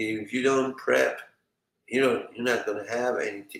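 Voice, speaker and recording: A speaker with a Middle Eastern accent talks at a moderate pace. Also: man. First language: a Middle Eastern language. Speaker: survival prepping channel host. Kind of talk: live stream chat reading viewer comments. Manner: hesitant, many fillers.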